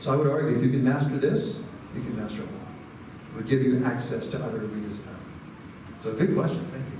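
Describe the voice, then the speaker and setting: A man speaks at a very fast pace and medium pitch, with ordinary pitch variation, big swings in loudness and long, frequent pauses. Audible room echo and noticeable background noise fill the recording. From Arizona, Phoenix area. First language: Spanish. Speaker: history professor. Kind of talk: audience Q&A after lecture. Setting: lecture hall with audience. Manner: halting, repeats words.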